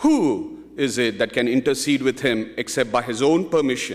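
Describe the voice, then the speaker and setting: Against a quiet background, a man speaks at a medium pitch and a moderate pace. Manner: earnest, reverent, devout, with a rhythmic, pleading cadence; formal, measured, fervent. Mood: solemn, calm. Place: hall. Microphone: podium.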